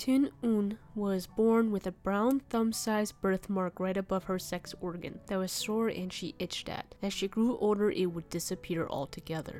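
With hardly any pauses, a woman speaks at a moderate pace in a dark, mellow tone with ordinary pitch variation. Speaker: channel narrator. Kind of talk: storytelling narration.

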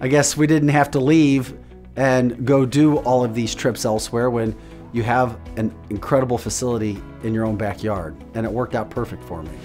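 A man speaks at a moderate pace with an American accent. Faint music plays in the background. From St. Louis area, USA. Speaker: television news anchor. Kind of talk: customer testimonial to camera. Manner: conversational, sincere. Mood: upbeat, satisfied. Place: office. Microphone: lapel.

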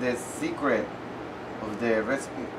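Slow delivery with ordinary pitch variation over clear background noise. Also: man, medium pitch for a man.

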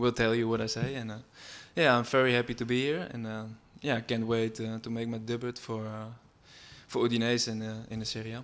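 Speaking in a Dutch accent, a man has a medium-pitched voice with monotone, flat intonation. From Netherlands. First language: Dutch (speaking Italian). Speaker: football player. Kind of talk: press conference. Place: hall. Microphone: podium.

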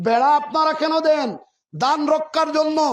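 With fairly even intonation, a man speaks at an extremely high pitch amid audible room echo. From Sylhet region, Bangladesh (Chhatak, Sunamganj). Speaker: politician. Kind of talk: political rally speech. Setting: outdoor election rally at a market. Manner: loud, emphatic oratory.

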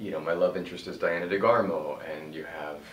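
The speech comes at a fairly quick pace, with audible room echo and light background noise. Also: man. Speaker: actor. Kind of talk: interview answer. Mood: upbeat, proud. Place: home room.

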